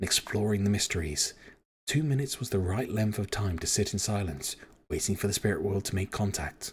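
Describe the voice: The voice is plain reading aloud with ordinary pitch variation. The background is quiet.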